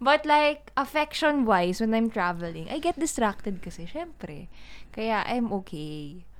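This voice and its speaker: A woman with a fairly high pitch talks as her pitch swings very widely. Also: fairly slow pace. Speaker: podcast co-host, actress. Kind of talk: casual chat. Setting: converted outdoor room.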